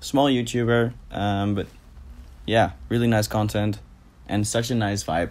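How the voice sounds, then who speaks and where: On a very clean recording with a silent background, a man with a Dutch accent speaks at medium pitch with ordinary pitch variation. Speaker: YouTuber. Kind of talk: casual Q&A vlog.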